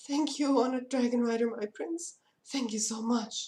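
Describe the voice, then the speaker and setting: A female-sounding voice uses a put-on character voice with a high pitch at a moderate pace. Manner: deferential, humble.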